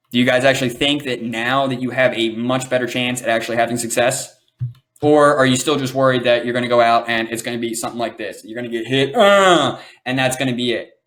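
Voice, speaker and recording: A man's medium-pitched voice at a very fast pace. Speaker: online business coach. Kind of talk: webinar training. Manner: animated.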